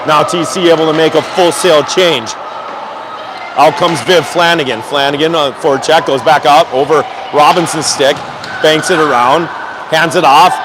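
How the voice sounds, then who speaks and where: Moderate pace, long and frequent pauses, very even loudness and fairly even intonation over noticeable background noise. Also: man, fairly high pitch for a man. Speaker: amateur hockey play-by-play commentator. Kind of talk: live commentary.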